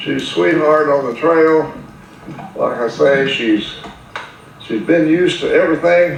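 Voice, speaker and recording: A man at a fairly slow pace with long, frequent pauses, audible room echo and noticeable background noise. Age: 80s+. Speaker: horse owner selling a mare. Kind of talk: casual video narration, sales pitch.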